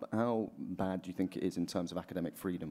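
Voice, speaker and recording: Speaking at a very fast pace, a man has a dark, mellow tone. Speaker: event moderator and editor; event moderator. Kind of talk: moderated panel discussion. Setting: stage with live audience. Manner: casual and jokey. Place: hall.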